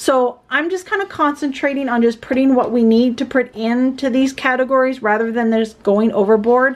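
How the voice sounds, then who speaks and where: A woman talks at a high pitch with hardly any pauses. Her loudness stays very even throughout. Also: ordinary pitch variation, moderate pace. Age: 40s. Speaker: budgeting YouTuber; budget vlogger. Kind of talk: casual vlog tutorial. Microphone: phone near.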